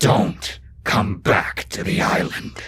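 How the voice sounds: This put-on character voice is raspy and growling. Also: man, fairly low pitch for a man.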